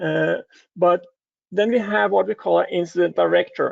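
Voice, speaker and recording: A man talks at a moderate pace. He has a Danish accent. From Denmark. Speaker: cybersecurity advisor. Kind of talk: conference talk. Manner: halting, many filler sounds.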